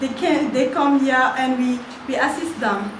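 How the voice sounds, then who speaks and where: A woman with a non-native accent talks at a fairly slow pace and a high pitch. Noticeable background noise and audible room echo are present. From French-speaking West Africa. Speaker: NGO admin officer and youth activist. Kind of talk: prepared speech at workshop. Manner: halting, many fillers.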